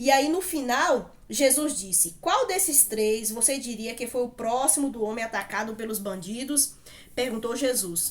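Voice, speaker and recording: A woman with a high pitch talks at a moderate pace in an animated tone. Her intonation is lively, and noticeable background noise runs underneath. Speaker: Bible teacher. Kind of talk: Bible study talk.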